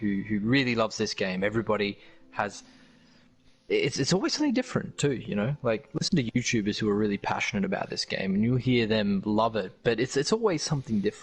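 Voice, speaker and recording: An Australian accent from a man at medium pitch, very fast in pace, with ordinary pitch variation. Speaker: gaming streamer. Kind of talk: casual chat. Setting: live stream.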